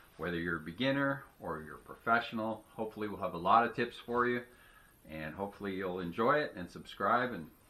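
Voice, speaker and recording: Here a man speaks at a fairly quick pace with lively intonation and a medium pitch. He has a plain, everyday voice. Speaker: auctioneer and antique dealer. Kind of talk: casual talk to camera.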